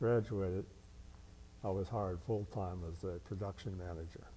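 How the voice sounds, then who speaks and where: Over light background noise, a man with a Midwestern American accent speaks in a very deep, low pitch, his tone dark and mellow, his intonation fairly even. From Cincinnati area, Ohio. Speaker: war veteran. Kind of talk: oral history interview. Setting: veterans' hall. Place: hall. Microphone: lapel.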